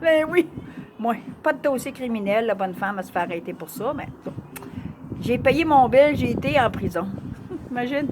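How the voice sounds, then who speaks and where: A woman with a Quebec accent speaks at a high pitch with very wide pitch swings. Noticeable background noise runs underneath. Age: 60s. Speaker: vlogger. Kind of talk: personal testimony.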